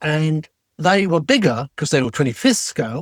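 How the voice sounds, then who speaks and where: Here a man with an English accent talks at a fairly slow pace. The sound is dry and close, with no echo. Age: 70s. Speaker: retired TV special effects designer. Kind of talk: casual interview.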